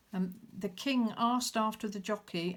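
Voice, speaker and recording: A woman speaks at a fairly slow pace, and her voice is somewhat breathy. Her intonation stays fairly even. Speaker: crafter showing handmade journal. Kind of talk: show-and-tell video. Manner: halting, many fillers.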